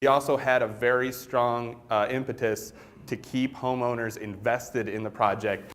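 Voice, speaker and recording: This is a man speaking. His pitch is medium. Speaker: conference presenter. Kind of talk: conference presentation. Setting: conference stage with audience. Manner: loud; animated.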